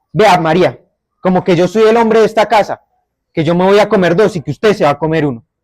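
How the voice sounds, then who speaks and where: In a Bogotá accent, a man talks at a very fast pace with an animated tone, a high pitch and ordinary pitch variation, the sound dry and close with no echo. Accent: Bogotá (rolo). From Bogotá area, Colombia. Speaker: storyteller. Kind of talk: oral storytelling.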